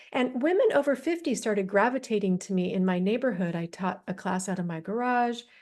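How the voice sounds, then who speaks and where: A woman talks at a moderate pace with a fairly high pitch and ordinary pitch variation. The background is quiet. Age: 60s. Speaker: fitness trainer and entrepreneur. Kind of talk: interview. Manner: halting.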